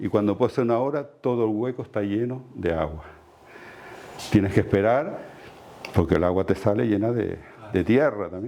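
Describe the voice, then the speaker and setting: Here a man talks at a moderate pace. His fairly low pitch carries lively intonation. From Canary Islands, La Palma (El Paso). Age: 60s. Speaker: heritage inspector and lecturer. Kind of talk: lecture. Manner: halting.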